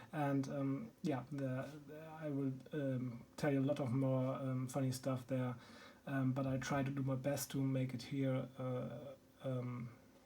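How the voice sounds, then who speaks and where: Somewhat breathy and dark, mellow in tone, a voice with a German accent moves at a fairly slow pace in a monotone, flat intonation amid audible room echo. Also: man, medium pitch for a man. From Germany. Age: 30s. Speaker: board game YouTuber. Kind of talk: casual video introduction. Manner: halting, many filler ums.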